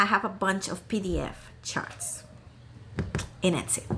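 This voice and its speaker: A woman in a Costa Rican accent. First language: Spanish. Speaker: crafting YouTuber. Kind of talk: casual vlog chat. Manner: hesitant, many fillers and restarts.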